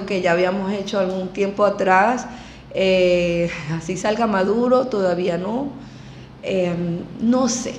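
A woman with a Venezuelan accent talks at a fairly slow pace and medium pitch with ordinary pitch variation, over noticeable background noise and audible room echo. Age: 50s. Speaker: emigrant entrepreneur, former university lecturer. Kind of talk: interview.

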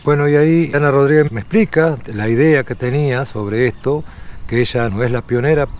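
Someone with a Uruguayan accent speaks at a moderate pace with ordinary pitch variation. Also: man, fairly high pitch for a man. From Uruguay, rural Tacuarembó. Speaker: rural researcher and interviewer. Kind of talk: documentary interview.

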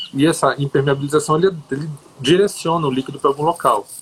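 Against noticeable background noise, a man speaks in a fairly high pitch with fairly even intonation. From Brazil, Brasília. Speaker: composting educator. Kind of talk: interview.

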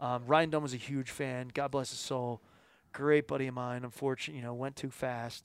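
A normal speaking voice from a man with an American accent, medium pitch, fairly quick pace and fairly even intonation, in a very clean recording with a silent background. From Philadelphia, US. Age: 40s. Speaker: outdoor marketing and television producer, former touring musician. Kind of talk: casual podcast interview. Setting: home studio.

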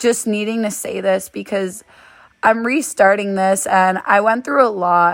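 This is a woman with a plain, everyday voice. Her pitch is medium, with ordinary pitch variation. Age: 20s. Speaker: solo podcaster. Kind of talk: personal monologue. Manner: casual, rambling.

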